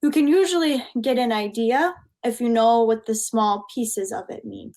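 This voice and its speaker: With an American accent, a woman talks at a moderate pace and a fairly high pitch, her pitch varying in an ordinary way. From US Midwest, Minnesota. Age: 20s. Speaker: English teacher. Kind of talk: online English lesson.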